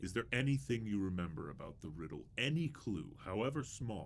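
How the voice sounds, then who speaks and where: Speaking at a fairly quick pace, a man puts on a character voice with a fairly low pitch and very wide pitch swings, over clear background noise. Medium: video game.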